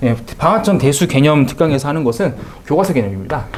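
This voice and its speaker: A man talks at a very fast pace with very wide pitch swings amid noticeable background noise. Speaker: math tutor. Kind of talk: course information talk to parents.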